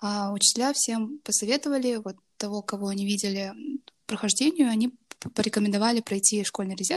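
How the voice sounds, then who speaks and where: A somewhat breathy woman with a fairly high pitch and ordinary pitch variation, talking at a fairly quick pace on a very clean recording with a silent background. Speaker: university student and intern. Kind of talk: interview. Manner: hesitant, many fillers.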